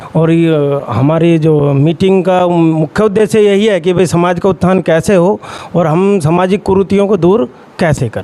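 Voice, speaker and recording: A man speaks in a high, dark, mellow voice with ordinary pitch variation and very even loudness. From Haryana, Gurgaon. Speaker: teacher. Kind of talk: community meeting interview. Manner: hesitant, with fillers.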